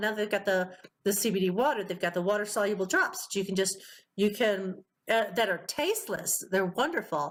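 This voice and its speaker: This woman has a medium pitch and an unremarkable speaking voice. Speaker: podcast host. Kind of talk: casual interview chat.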